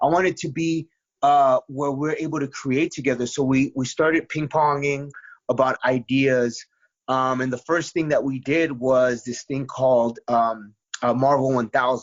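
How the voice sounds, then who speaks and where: A man speaks at a moderate pace and medium pitch with fairly even intonation, in a plain, everyday voice. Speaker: comic book writer and musician. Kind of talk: interview. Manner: many fillers and repetitions.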